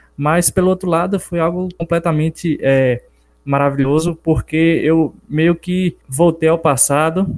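The speech is fairly slow with fairly even intonation. It sounds dry and close, without echo. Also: man, high pitch for a man, very even loudness. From Brazil, Bahia interior (Capim Grosso). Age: 20s. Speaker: personal trainer and book co-author. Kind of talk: casual interview. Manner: hesitant with filler 'é'.

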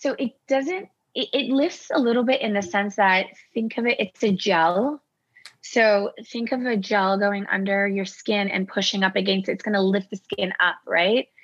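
With a Canadian accent, a woman speaks at a moderate pace and medium pitch, using ordinary pitch variation. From Toronto, Canada (Persian family from Iran). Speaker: integrative and aesthetics doctor. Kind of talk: podcast interview.

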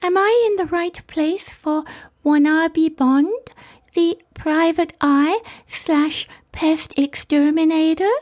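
In a put-on character voice, a woman speaks breathily at an extremely high pitch with ordinary pitch variation, very slowly and with long, frequent pauses. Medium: audio drama. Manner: sweet, breathy.

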